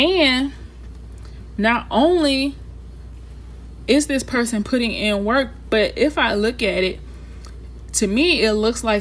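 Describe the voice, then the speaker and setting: At a very slow pace, a woman speaks. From Texas, Houston. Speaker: tarot reader. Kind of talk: tarot reading for viewers. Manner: casual, filler-heavy speech; animated.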